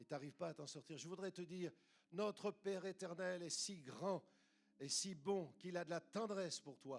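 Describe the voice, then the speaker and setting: Keeping a moderate pace, a man talks at a high pitch with ordinary variation in it. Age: 70s. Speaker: retired pastor. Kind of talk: sermon. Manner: animated.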